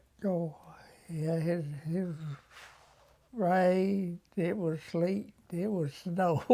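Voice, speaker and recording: A man with an Alabama accent talks very slowly with a dark, mellow tone, fairly even intonation, and long, frequent pauses. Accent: Southern US, Alabama. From US South, Alabama. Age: 90s. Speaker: war veteran. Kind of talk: interview. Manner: halting.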